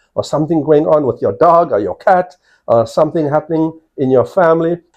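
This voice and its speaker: A man with a South African accent talks in a fairly high pitch. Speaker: college provost, professor. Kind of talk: interview answers to students. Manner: hesitant with frequent fillers.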